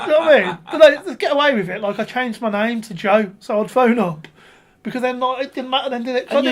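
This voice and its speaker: A squeaky man's voice at an extremely high pitch, over noticeable background noise. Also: big swings in loudness. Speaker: podcast guest. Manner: animated, joking.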